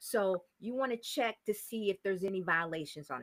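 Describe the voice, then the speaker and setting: Recorded dry and close with no echo, a woman speaks at a medium pitch. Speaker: real estate investor. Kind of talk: interview. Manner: fast.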